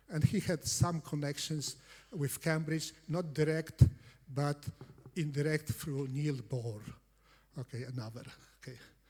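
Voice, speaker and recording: Speaking at a very slow pace, a man has a fairly high pitch and a dark, mellow tone that is somewhat breathy. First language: Polish. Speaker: competitive programming coach. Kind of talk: conference talk. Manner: halting, many fillers.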